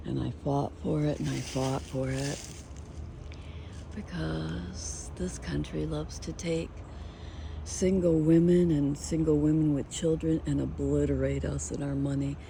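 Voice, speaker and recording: Audible room echo follows a woman as she talks fairly slowly. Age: 60s. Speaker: vlogger. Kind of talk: casual vlog walkthrough. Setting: outdoors.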